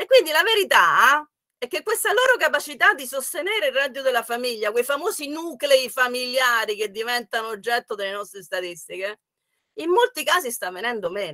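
Against a quiet background, a woman projects a raised, bright, sharp voice at a high pitch and a fairly quick pace, with very wide pitch swings and big swings in loudness. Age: 60s. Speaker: economics professor. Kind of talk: online workshop talk. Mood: warm, often smiling. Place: home room. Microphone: webcam.

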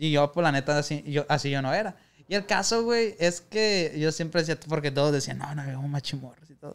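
Speaking fairly quickly, a man varies his pitch in an ordinary way. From Sinaloa, Mexico (Culiacán); Sinaloa, Mexico. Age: 20s. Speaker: youtuber, former rideshare driver; youtuber. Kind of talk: casual chat. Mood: relaxed, joking. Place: studio. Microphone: studio mic.

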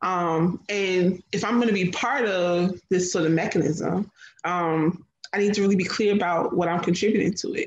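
A woman with an American accent, fairly even intonation and a moderate pace, with audible room echo. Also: medium pitch for a woman. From New Jersey, US. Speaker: food writer and chef; guest. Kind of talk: panel discussion. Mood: reflective, thoughtful. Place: home room. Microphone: video call.

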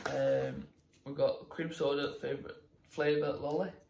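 There is noticeable background noise behind the man talking. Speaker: vlogger. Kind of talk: casual vlog chat. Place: kitchen. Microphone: phone near.

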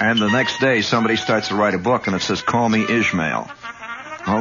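A man's fairly low voice at a fairly quick pace, with ordinary pitch variation and music in the background. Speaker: radio host. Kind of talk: radio monologue storytelling. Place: studio. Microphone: old recording.

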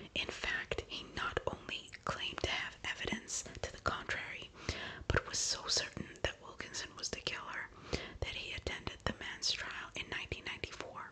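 A woman is whispering. Her pace is moderate. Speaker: ASMR true-crime narrator. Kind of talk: soft-spoken true crime storytelling. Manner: soft, hushed ASMR narration. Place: home room.

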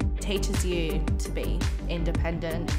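A woman is speaking. Clear music plays in the background. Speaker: former foster care client. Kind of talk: interview answer. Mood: sincere, grateful. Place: home room.

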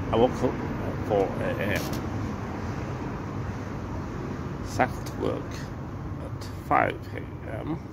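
A man speaks at a very slow pace while loud background noise fills the clip. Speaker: ale reviewer. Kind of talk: casual vlog chat. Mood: relaxed, reflective, unhurried. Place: bar. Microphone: phone near.

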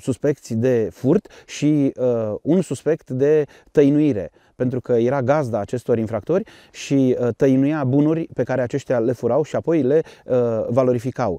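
A man speaks at a fairly slow pace in a dark, mellow tone. The sound is dry with no echo, and the background is quiet. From Romania, Harghita county (Bălan); Romania. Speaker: police spokesperson. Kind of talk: interview. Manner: formal. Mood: calm, reflective. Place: open country.

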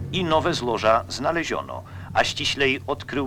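A man speaks at a moderate pace and medium pitch. Music plays in the background. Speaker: documentary narrator. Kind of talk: documentary narration.

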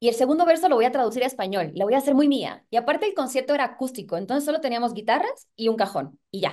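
A woman talks very fast with hardly any pauses, her high voice full of lively intonation. The background is quiet. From Puerto Rico. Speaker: singer and actress. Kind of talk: interview. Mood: excited, animated. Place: home room. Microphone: video call.

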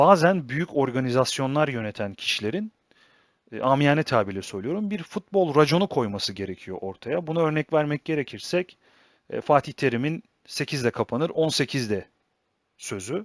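Pitched fairly high for a man, his voice swings very widely up and down, recorded very cleanly against a silent background with a dry, close sound and no echo. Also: moderate pace. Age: 20s. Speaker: football analysis YouTuber. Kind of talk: solo football analysis commentary.

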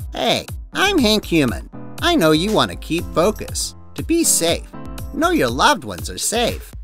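A man at a moderate pace over clear background music. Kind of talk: infomercial pitch. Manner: upbeat, reassuring salesman.

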